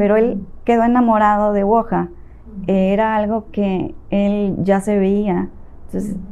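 Using a dark, mellow tone, a woman speaks fairly slowly at a medium pitch with fairly even intonation. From Mexico, Veracruz and Tabasco. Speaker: real estate agent. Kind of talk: interview.

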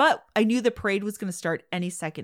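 A woman with a Midwestern accent and ordinary pitch variation, in a very clean recording with a silent background. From US Midwest, Chicago. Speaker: podcast host. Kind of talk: casual chat.

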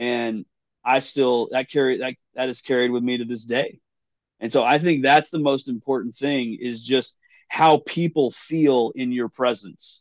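A man with a West Texas accent, medium in pitch, fairly slow, with fairly even intonation and a dry, close sound with no echo. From West Texas (Big Spring). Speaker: drummer. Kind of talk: casual interview. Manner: halting, repeats words.

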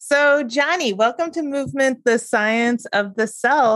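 With an American accent, a woman speaks at a fairly slow pace, her high pitch moving with ordinary variation. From Great Neck, New York. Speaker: podcast host and personal trainer. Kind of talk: casual chat; scripted narration. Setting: video call.

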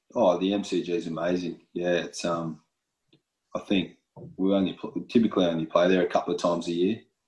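Long, frequent pauses break up the speech of a man with a very deep, low pitch and an Australian accent. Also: fairly even intonation, moderate pace. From Western Australia. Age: 30s. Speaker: professional footballer. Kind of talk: interview. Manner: halting.

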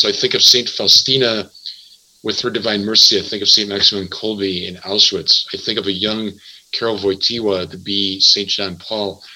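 With an American accent, a man speaks in an ordinary speaking voice at medium pitch and a moderate pace. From Wisconsin, US Midwest (Milwaukee). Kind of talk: religious radio interview.

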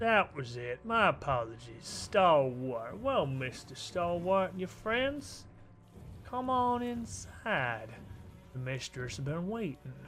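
Putting on a character voice with a Southern US accent, a man drawls at a fairly slow pace and fairly high pitch over clear background noise. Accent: southern drawl. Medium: actual play. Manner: folksy, drawling, falsely friendly.

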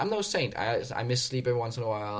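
Here a man talks at a very fast pace in a Danish accent. His voice is somewhat breathy. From Denmark. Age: 30s. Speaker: obstacle course racer. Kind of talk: casual interview chat. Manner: casual, swears often.

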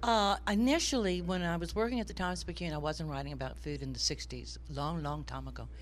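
A woman at a very fast pace with hardly any pauses, in audible room echo. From Louisiana, St. Martinville (Cajun country). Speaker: food writer and cookbook author. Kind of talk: interview.

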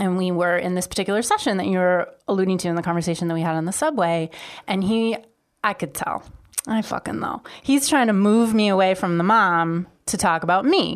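A woman talks at a fairly quick pace in medium pitch, with ordinary pitch variation and an ordinary speaking voice. The recording is very clean, with a silent background. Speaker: guest. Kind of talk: casual chat.

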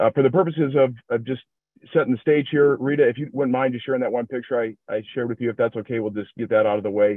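A man with an American accent, very fast, at a medium pitch with ordinary pitch variation. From Minnesota, US Midwest. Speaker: recovery group member sharing his story. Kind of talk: personal testimony.

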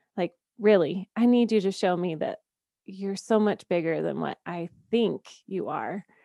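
A woman with an unremarkable speaking voice talks at medium pitch and a fairly slow pace, with ordinary pitch variation. The sound is dry and close, with no echo. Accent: American. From US South, Georgia. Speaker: podcast producer and faith coach. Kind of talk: testimony.

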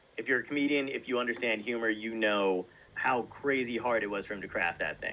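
A man with an American accent talks at a fairly quick pace in a normal speaking voice. His intonation stays fairly even. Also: medium pitch for a man. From New Jersey. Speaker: stand-up comedian. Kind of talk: casual interview.

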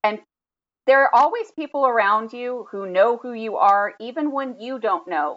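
This is a woman with an ordinary speaking voice. Her intonation is lively. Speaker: podcast co-host. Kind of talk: casual chat.

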